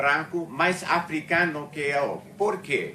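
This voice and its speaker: A man at a very slow pace, his intonation fairly even. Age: 70s. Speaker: retired museum researcher and speaker. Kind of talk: talk at a discussion circle. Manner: halting, many fillers and self-corrections.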